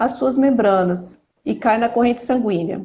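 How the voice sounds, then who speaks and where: A woman talks fairly slowly, somewhat breathy, with ordinary pitch variation. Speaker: pharmacy professor and researcher. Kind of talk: live-stream interview.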